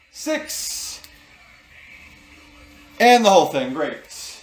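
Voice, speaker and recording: A man with a high pitch makes very wide pitch swings as music plays in the background. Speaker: cocktail video host. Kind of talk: casual talk to camera, cocktail tutorial. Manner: casual, joking, humorous.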